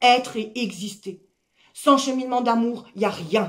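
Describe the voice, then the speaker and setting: A woman is speaking here. Her intonation stays fairly even. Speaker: life coach. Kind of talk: motivational talk. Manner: loud.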